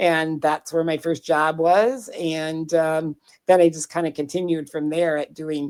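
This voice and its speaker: A speaker with an American accent talks at a moderate pace with fairly even intonation, in a dry, close sound with no echo. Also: woman. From US Midwest, southwestern Minnesota. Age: 60s. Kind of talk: interview conversation.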